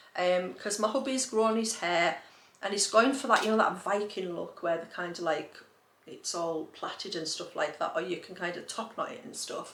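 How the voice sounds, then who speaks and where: Speaking at a moderate pace and medium pitch, a woman uses lively intonation with big swings in loudness. Noticeable background noise and audible room echo are present. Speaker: lifestyle vlogger. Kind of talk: casual haul chat. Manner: chatty, animated.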